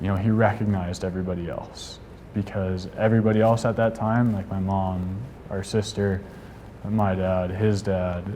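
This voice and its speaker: Audible room echo surrounds a man's fairly low, dark, mellow voice. His intonation is monotone and flat, at a moderate pace. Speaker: veteran. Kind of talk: testimony. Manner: halting.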